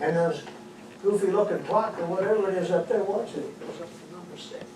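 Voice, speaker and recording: Noticeable background noise accompanies a fairly quick pace of speech. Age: 70s. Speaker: comedian. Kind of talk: stand-up.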